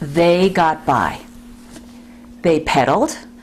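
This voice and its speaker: A woman with an American accent speaks at a fairly slow pace, her intonation lively. Noticeable background noise runs underneath. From New York City, the Bronx. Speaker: congregation co-leader. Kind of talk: oral history interview.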